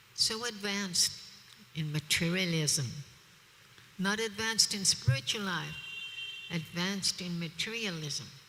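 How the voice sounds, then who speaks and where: A woman speaks fairly slowly with lively intonation. Noticeable background noise runs behind her. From Australia. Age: 70s. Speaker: preacher. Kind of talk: religious discourse. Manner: animated.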